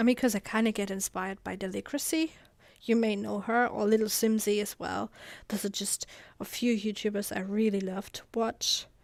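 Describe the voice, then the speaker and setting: A woman with a German accent at a medium pitch and moderate pace, fairly even in intonation, on a very clean recording with a silent background. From Germany. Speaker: gaming YouTuber. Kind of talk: gameplay voiceover commentary. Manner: casual, halting with fillers.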